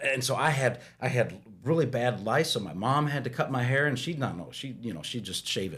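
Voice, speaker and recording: A man at a medium pitch talks with vocal fry and lively intonation, barely pausing at all. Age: 40s. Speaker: guest on faith podcast, pastor's son. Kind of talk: casual chat. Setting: podcast studio. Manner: halting, many fillers and repeats.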